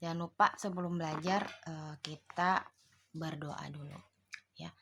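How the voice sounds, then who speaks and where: Her pitch very deep and low, a woman speaks at a fairly slow pace with fairly even intonation. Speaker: online tutor. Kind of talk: online tutorial lecture. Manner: casual with many fillers.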